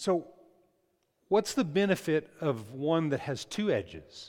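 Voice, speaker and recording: On a very clean recording with a silent background, the voice sounds animated, with lively intonation. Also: man. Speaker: pastor. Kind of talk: sermon. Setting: church. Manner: loud.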